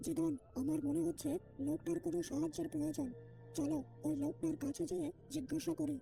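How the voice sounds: Over clear music in the background, a cartoonish character voice moves at a moderate pace. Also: man, high pitch for a man.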